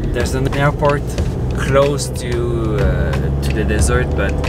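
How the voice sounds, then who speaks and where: Someone speaks at a fairly slow pace while music plays in the background. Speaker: vlogger. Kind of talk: casual vlog chat. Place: car. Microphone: camera far.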